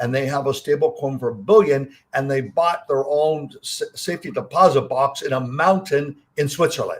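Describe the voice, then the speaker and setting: Somewhat breathy, a man speaks at a fairly high pitch and a moderate pace. He barely pauses, and his pitch varies in an ordinary way. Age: 70s. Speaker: investment fund CEO. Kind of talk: interview.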